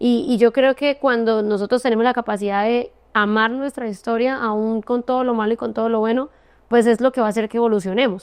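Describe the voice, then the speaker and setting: A woman's fairly high voice in a Santander Colombian accent, very fast and monotone, with flat intonation, a dry, close sound with no echo and a quiet background. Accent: Santander Colombian, clipped. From Colombia, Santander. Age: 30s. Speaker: entrepreneur. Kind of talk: interview testimony.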